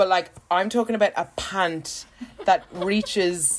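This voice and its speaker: A woman with an Irish accent and a medium pitch speaks fairly slowly in an animated tone against noticeable background noise. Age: 30s. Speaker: podcast co-host. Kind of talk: casual chat.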